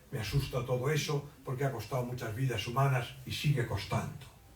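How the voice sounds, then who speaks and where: There is audible room echo around this man's voice. He speaks at a fairly high pitch. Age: 80s+. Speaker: writer. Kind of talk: book presentation talk. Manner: halting.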